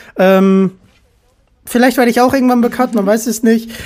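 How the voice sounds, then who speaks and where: A woman's voice with a dark, mellow tone keeps a fairly even intonation. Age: 20s. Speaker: podcast host. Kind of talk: casual chat.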